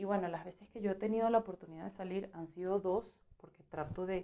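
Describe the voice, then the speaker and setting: With an unremarkable speaking voice, a woman talks at a moderate pace with a fairly low pitch and fairly even intonation. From Venezuela. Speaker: journalist. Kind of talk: interview.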